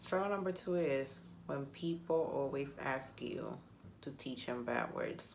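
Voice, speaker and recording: Against audible room echo, a woman talks at a fairly slow pace with lively intonation. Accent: Spanish. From Puerto Rico. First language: Spanish. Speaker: vlogger. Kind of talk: casual vlog talk to camera. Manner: animated.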